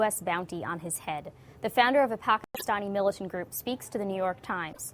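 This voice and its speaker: A normal speaking voice from a woman, medium in pitch, fairly quick in pace, with ordinary pitch variation. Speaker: news host. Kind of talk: news interview questions.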